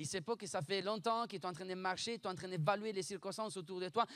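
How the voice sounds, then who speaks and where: A man talks in a high pitch with a slight Italian accent. His tone is animated, with ordinary pitch variation. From Italy (Bologna). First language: Italian (speaking French). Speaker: pastor. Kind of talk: sermon. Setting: church. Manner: fast.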